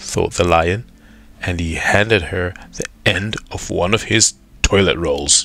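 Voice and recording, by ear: Over faint music in the background, a man with a low pitch speaks at a slow pace, his bright, sharp tone carrying vocal fry and ordinary pitch variation.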